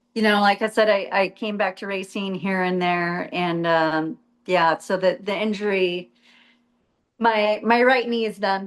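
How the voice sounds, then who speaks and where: A woman with an American accent and an ordinary speaking voice talks at a fairly slow pace and medium pitch, her intonation fairly even, over a quiet background. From US Southwest, Arizona. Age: 50s. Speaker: retired jet ski racer. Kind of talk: casual interview.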